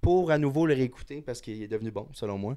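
On a very clean recording with a silent background, a normal speaking voice comes through with lively intonation. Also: man. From Montréal, Quebec. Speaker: bartender. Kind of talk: casual chat.

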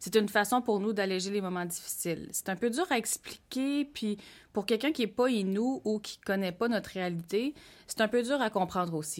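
This woman has an ordinary speaking voice, medium in pitch with ordinary pitch variation, and she talks at a fairly quick pace. The recording is very clean, with a silent background. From Quebec North Shore, Innu community. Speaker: podcast co-host. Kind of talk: casual chat.

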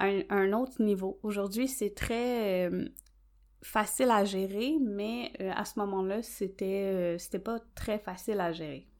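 In a Quebec accent, a woman speaks at a very slow pace and medium pitch with ordinary pitch variation. The recording is very clean, with a silent background. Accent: Québécois French. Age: 30s. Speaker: nail technician and podcast host. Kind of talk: solo podcast monologue. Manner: hesitant, many fillers.

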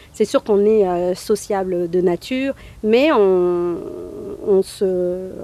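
The voice shows ordinary pitch variation. Noticeable background noise runs behind it. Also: woman. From northern France. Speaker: immigrant resident. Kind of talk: interview.

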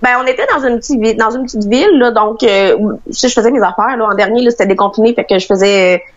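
A woman with a fairly high voice talks very fast, with hardly any pauses. Her pitch varies in an ordinary way, and there is noticeable background noise. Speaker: traveller stranded abroad. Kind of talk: interview.

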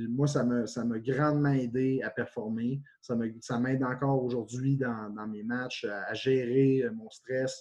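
This man speaks at a very slow pace in a dark, mellow tone, with medium pitch and ordinary pitch variation. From Quebec, Témiscamingue region. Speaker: university football coach, former pro player. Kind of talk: interview.

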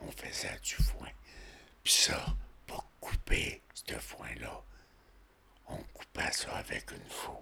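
Whispering at a very slow pace, a man leaves long, frequent pauses as his loudness swings widely. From rural Quebec, Montmagny county. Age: 80s+. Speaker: retired tradesman. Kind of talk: life-story interview. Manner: halting.

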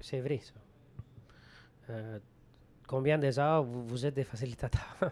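A man with a Spanish accent speaks very slowly at a medium pitch, with ordinary pitch variation. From Venezuela. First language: Spanish (speaking French). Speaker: group facilitator. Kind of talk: casual interview.

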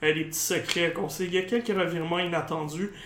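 A man talks at a high pitch. There is noticeable background noise and audible room echo. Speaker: gaming podcast host. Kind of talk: casual chat.

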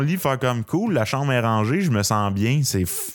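A man speaks with a Quebec accent at a moderate pace, his intonation lively. Noticeable background noise runs underneath. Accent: Québécois French. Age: 20s. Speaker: stand-up comedian. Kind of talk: casual interview chat.

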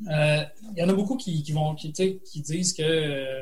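A man with a fairly high voice. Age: 40s. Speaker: writer and college teacher. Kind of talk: interview. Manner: halting, many repetitions.

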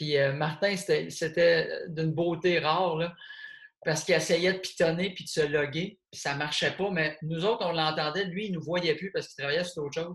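Delivery is at a moderate pace with fairly even intonation. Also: man, high pitch for a man. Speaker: comedian and podcast host. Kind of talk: casual chat. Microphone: poor sound quality.

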